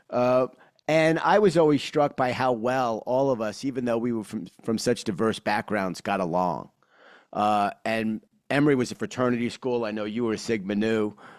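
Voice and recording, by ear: Ordinary pitch variation marks this man's speech in a New York accent. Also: medium pitch for a man, moderate pace. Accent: New York, Brooklyn-Queens.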